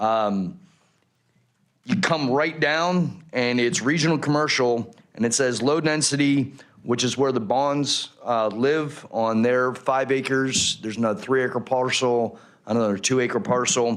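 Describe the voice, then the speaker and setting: Speaking at a medium pitch and a fairly slow pace, a man keeps very even loudness and ordinary pitch variation. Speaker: retired Marine, resident speaking at public hearing. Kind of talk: public comment at council hearing. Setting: city council chambers.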